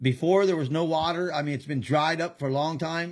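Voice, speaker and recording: An ordinary speaking voice from a man, fairly high in pitch, at a moderate pace against a quiet background. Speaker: podcast host. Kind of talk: casual chat. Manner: excitable.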